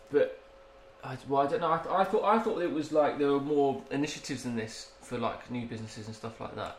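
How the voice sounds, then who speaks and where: A man with an English accent talks at a very fast pace with lively intonation and a fairly high pitch. Noticeable background noise sits behind him. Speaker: podcast co-host. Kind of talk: casual banter.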